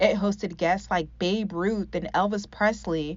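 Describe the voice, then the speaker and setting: A woman's medium-pitched voice with vocal fry and an American accent. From Northern California. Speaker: news reporter. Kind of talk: TV news report. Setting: outdoors.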